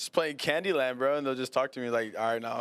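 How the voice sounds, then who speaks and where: Speaking with an American accent, a man holds his voice in the medium pitch range. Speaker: podcast host. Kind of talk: casual chat. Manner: fast; animated.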